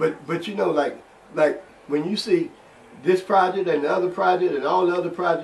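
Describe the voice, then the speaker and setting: Over noticeable background noise, a man with an American accent and a high pitch speaks at a fairly quick pace with fairly even intonation. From Cairo, Illinois (southern Illinois). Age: 70s. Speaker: civil rights activist. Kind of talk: interview testimony. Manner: halting, many repetitions.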